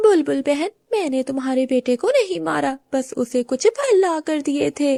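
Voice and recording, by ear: In a put-on character voice, a woman speaks high and fairly slowly, with a dark, mellow tone, vocal fry and lively intonation. The sound is dry and close with no echo.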